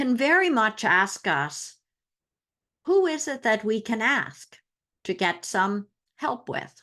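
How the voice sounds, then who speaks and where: Against a quiet background, a woman with a bright, sharp tone and a fairly high pitch speaks very slowly, her pitch swinging very widely. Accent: Newfoundland. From Newfoundland, Canada. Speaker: astrologer. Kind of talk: astrology talk to camera. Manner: casual, conversational.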